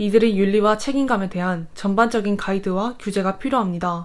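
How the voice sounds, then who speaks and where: The speaker uses an ordinary speaking voice at a moderate pace. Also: woman. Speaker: university student. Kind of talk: scripted narration. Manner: formal.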